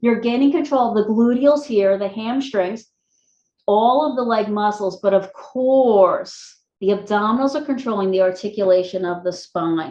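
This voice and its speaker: Here is a normal speaking voice. It moves at a moderate pace with ordinary pitch variation. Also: woman, fairly high pitch for a woman. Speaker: pilates instructor. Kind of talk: guided workout class.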